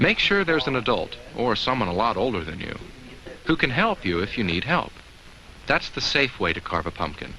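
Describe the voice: A man does a put-on character voice with a bright, sharp tone and big pitch swings around a fairly low pitch. He goes at a moderate pace over faint background noise.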